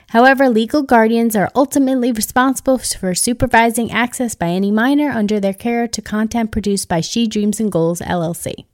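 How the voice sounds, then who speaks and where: A woman with a slight Long Island accent talks at a fairly quick pace with hardly any pauses. Her pitch varies in an ordinary way, and the sound is dry and close with no echo. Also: fairly high pitch for a woman. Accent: Long Island New York, slight. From Long Island, New York. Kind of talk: interview, podcast intro.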